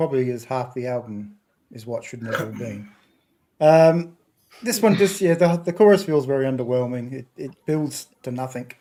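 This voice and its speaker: Lively intonation marks a man's ordinary speaking voice at medium pitch. He keeps a moderate pace. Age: 60s. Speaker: podcast panelist. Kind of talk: panel album review chat.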